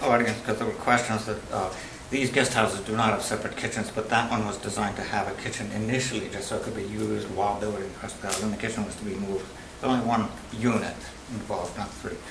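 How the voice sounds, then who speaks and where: A man talks very fast at a fairly low pitch, flat and monotone. Noticeable background noise and audible room echo surround him. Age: 60s. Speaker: appellant at zoning hearing. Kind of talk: public hearing testimony. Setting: town board meeting with public audience. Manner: halting.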